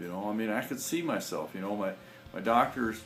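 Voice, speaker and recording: A man speaks at a very fast pace with very wide pitch swings, with audible room echo and music in the background. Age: 60s. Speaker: naturopathic health promoter. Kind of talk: personal testimony. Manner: halting, many fillers and repetitions.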